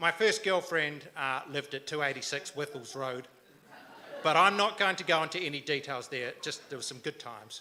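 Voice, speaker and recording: A fairly high-pitched man with a New Zealand accent, a bright, sharp tone, ordinary pitch variation and a moderate pace. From New Zealand, Canterbury (born Timaru, raised Christchurch). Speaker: local council candidate. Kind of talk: campaign speech. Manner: hesitant, many fillers.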